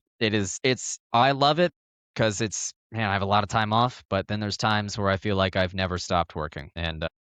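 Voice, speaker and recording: A man talks at a fairly quick pace in a fairly low pitch. The background is quiet. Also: dry, close sound with no echo. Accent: American. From Northern Virginia. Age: 20s. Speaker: live production technician and sim racer. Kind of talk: casual podcast chat.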